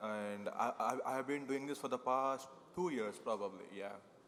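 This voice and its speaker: Noticeable background noise sits behind the voice. A man speaks with fairly even intonation. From India. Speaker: security developer. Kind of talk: panel discussion. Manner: halting.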